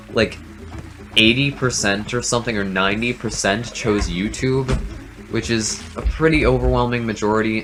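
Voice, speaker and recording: A man's voice sits fairly low in pitch. Behind him, music plays. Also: ordinary pitch variation, moderate pace. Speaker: gaming YouTuber. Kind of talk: casual chat over gameplay.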